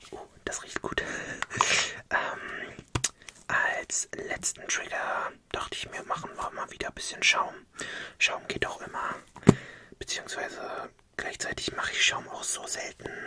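Whispering in a relaxed tone, a man speaks fairly slowly with long, frequent pauses. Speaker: ASMR creator. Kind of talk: ASMR talking video. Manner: soft, relaxed, whispering. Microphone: studio mic.

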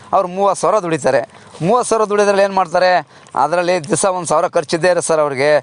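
A man talks with a high pitch. His pitch varies an ordinary amount. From Karnataka, Hassan district (Arasikere). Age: 40s. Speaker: cattle farmer. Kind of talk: casual interview.

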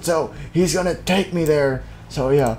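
A raspy, put-on character voice at a middle pitch, moderate pace, with clear background noise. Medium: machinima. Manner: slow, solemn, cryptic.

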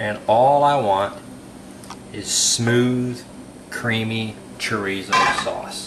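With audible room echo and noticeable background noise, a man at a medium pitch talks at a very slow pace, leaving long, frequent pauses. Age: 40s. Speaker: home cook. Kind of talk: audition tape cooking demo. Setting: home kitchen. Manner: animated.

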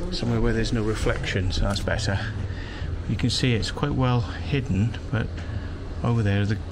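Noticeable background noise accompanies a man talking at a moderate pace. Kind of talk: casual vlog chat. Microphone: phone near.

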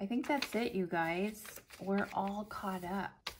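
With an unremarkable speaking voice, this woman speaks at a fairly slow pace and keeps her intonation fairly even. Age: 40s. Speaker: planner YouTuber. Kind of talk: casual chat.

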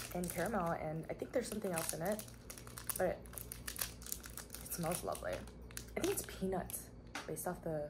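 A woman at a moderate pace with long, frequent pauses, over noticeable background noise. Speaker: food reviewer. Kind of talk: casual vlog chat. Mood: relaxed, cheerful. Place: home room. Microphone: camera far.

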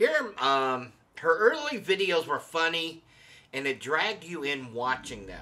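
A man delivers his words at a fairly slow pace. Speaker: channel host. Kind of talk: casual vlog commentary. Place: home room. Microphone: studio mic.

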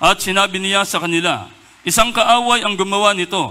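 A man's raised, projected voice, high in pitch and at a fairly slow pace. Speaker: scripture reader. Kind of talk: reading aloud. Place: church. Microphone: handheld.

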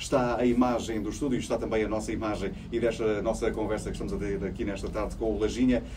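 Over noticeable background noise, a man speaks at a very fast pace and a medium pitch with monotone, flat intonation and hardly any pauses. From Portugal, Évora (Alentejo). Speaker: radio host. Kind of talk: radio interview with call-ins. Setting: radio studio. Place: studio.

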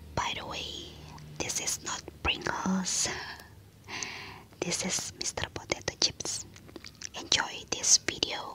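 A woman whispering at a very slow pace, with long, frequent pauses. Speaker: ASMR creator. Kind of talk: whispered ASMR intro to camera. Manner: whispered. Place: home room. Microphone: studio mic.

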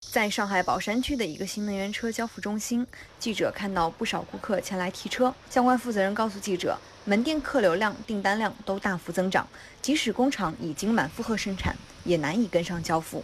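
This woman has an unremarkable speaking voice at a medium pitch. She talks at a fairly quick pace with ordinary pitch variation. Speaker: TV news reporter. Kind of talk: newsreading, scripted TV report voice-over. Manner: formal, steady, measured broadcast delivery; even, authoritative, neutral news tone.

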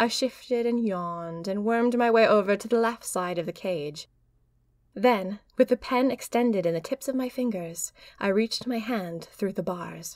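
An unremarkable speaking voice with ordinary pitch variation moves at a moderate pace in a very clean recording with a silent background. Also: woman, fairly high pitch for a woman. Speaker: audio drama narrator. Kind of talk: audio drama diary narration.

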